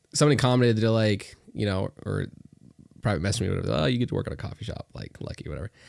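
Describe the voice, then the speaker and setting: Here is a man with an American accent, a fairly low pitch and vocal fry. He talks at a very fast pace, broken by long, frequent pauses. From Northwest Arkansas, US South. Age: young, 19. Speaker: young entrepreneur and realtor. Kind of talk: casual podcast interview.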